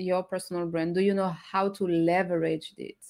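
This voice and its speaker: Animated and at a moderate pace, a woman of medium pitch speaks with a non-native accent on a very clean recording with a silent background. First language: not English. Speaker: co-host of live LinkedIn show. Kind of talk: casual chat, live show. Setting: live stream. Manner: animated, laughs often.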